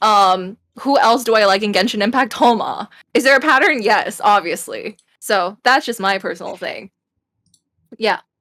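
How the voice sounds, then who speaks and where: In a very clean recording with a silent background, a woman with a fairly high pitch and a bright, sharp tone speaks with long, frequent pauses. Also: ordinary pitch variation, moderate pace. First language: not English. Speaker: podcast co-host. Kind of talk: casual chat.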